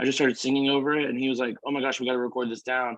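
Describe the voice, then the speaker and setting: Here a man talks with a Southern US accent. His pitch sits in the medium range. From small-town Arkansas. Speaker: country singer. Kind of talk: casual interview chat.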